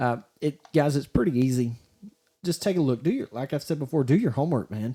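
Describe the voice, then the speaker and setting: Speaking at a fairly quick pace with an American accent, a man has a fairly high pitch, a dark, mellow tone, ordinary pitch variation and a somewhat breathy quality. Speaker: high school sports podcaster, former coach and teacher. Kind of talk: solo podcast commentary. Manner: rambling, halting with many restarts; stuttering when frustrated.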